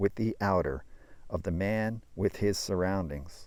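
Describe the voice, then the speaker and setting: With an American accent, a man talks at a fairly low pitch in a dark, mellow tone with ordinary pitch variation. The recording is very clean, with a silent background. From New Jersey. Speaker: retired firefighter; actor. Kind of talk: audiobook reading. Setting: outdoors.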